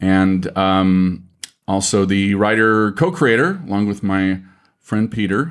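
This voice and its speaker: A man with a fairly low voice speaks at a very slow pace. His pitch varies in an ordinary way. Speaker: podcast writer and voice actor. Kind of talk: casual chat.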